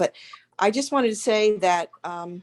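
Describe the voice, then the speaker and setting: Here a woman speaks in an ordinary speaking voice at medium pitch, with ordinary pitch variation. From Pittsburgh, Pennsylvania. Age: 60s. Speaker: community member. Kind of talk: public comment at community meeting.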